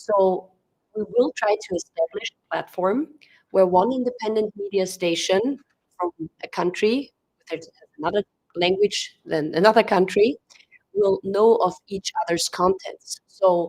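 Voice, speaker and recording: Recorded dry and close with no echo, a woman with a German-speaking European accent speaks slowly-ish at medium pitch, her pitch varying in an ordinary way. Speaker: press conference moderator. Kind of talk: press conference remarks. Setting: press conference room with audience and live stream.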